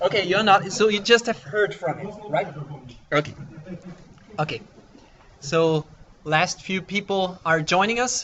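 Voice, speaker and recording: The speech moves at a fairly slow pace, with long, frequent pauses and ordinary pitch variation. Noticeable background noise runs underneath. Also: man, high pitch for a man. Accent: non-native. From Austria. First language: German. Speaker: software developer, conference speaker. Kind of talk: conference talk. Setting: conference room with audience. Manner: halting, with fillers.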